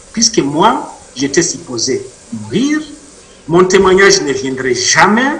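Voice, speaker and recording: A man speaks very slowly at a high pitch, his voice making very wide pitch swings. Noticeable background noise and audible room echo fill the recording. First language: Mashi (speaking French). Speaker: author and witness. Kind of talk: interview testimony.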